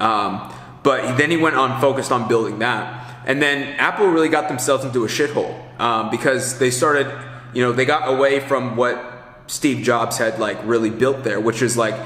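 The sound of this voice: A man speaks at a moderate pace and medium pitch, with ordinary pitch variation and few pauses. His tone is fairly bright, with faint background noise behind him.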